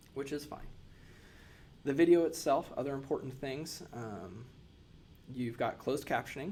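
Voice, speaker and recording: This man speaks at a moderate pace in a plain, everyday voice with a medium pitch. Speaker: nurse educator. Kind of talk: tutorial.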